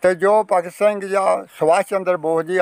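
A man's high-pitched, very slow, monotone and flat delivery, with a dry sound and no echo. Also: quiet background. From Punjab, Kapurthala district; Punjab. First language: Punjabi (speaking Hindi). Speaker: partition-era elder, former mill worker. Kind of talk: interview; interview answer. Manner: halting. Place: open country. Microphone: phone near.

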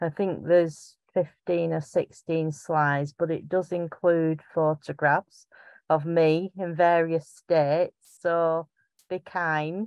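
A woman speaks slowly in a strong Lancashire accent, her low pitch showing little pitch movement. Her tone is clear, smooth and slightly mellow, with a dry, close sound and no echo. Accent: strong Bolton, Lancashire.

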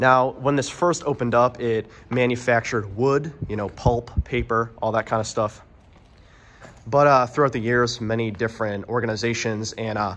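His pace is moderate. The man's intonation stays fairly even. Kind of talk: casual vlog narration with history. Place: factory. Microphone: phone near.

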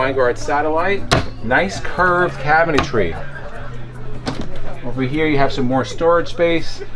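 Against clear background music, a man speaks at a moderate pace. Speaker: RV reviewer. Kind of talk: walkthrough tour commentary. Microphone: phone near.

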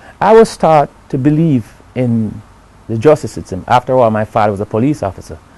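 With music in the background, a man talks at a fairly quick pace with ordinary pitch variation. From Jamaica. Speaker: interviewee telling his story. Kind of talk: interview answer. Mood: earnest, aggrieved, reflective. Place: studio. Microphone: lapel.

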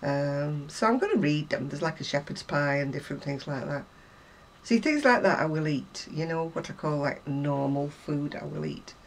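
A woman with a British accent, a very deep, low pitch and ordinary pitch variation. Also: moderate pace. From UK. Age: 70s. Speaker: crafter; crochet vlogger. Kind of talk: casual chat. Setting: home. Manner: chatty. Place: home room. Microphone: camera far.

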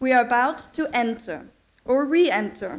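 Ordinary pitch variation from a woman with a high pitch. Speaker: speaker. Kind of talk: ceremonial speech. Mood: formal, warm. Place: hall. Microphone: podium.

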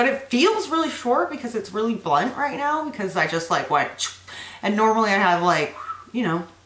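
The speech moves at a fairly quick pace. Audible room echo surrounds it. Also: woman. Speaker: vlogger. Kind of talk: casual vlog chat. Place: home room. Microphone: phone near.

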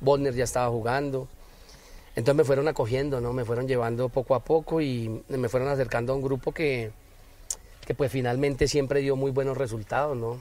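Talking at a fairly quick pace, a man delivers monotone, flat intonation in a dark, mellow tone. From Bogotá, Colombia. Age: 40s. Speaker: former footballer and football coach. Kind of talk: interview.

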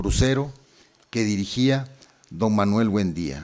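A man speaks at a very slow pace. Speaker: university administrator. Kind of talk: formal speech.

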